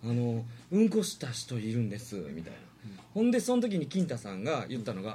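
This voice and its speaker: Fairly quick and full of very wide pitch swings, a man's voice carries a dark, mellow tone. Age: 30s. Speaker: performer with a distinctive voice. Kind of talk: casual chat. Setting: live internet stream.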